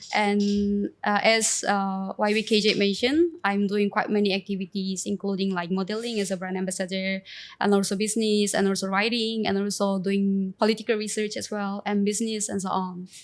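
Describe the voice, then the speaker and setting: A woman talks at a fairly quick pace and medium pitch with monotone, flat intonation and hardly any pauses. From South Korea, Seoul. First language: Korean. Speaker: entrepreneur and influencer. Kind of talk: interview. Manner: halting.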